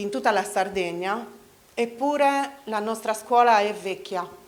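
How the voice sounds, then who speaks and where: Against noticeable background noise, a woman with a fairly high pitch talks at a fairly slow pace with ordinary pitch variation. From Sardinia, Italy (Medio Campidano). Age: 40s. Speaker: local election candidate. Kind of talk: campaign speech. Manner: halting.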